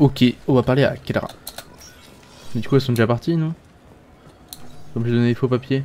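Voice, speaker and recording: A man talks at a moderate pace and medium pitch with fairly even intonation. Long pauses come often. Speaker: gaming video creator. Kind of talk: let's play commentary. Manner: casual, hesitant.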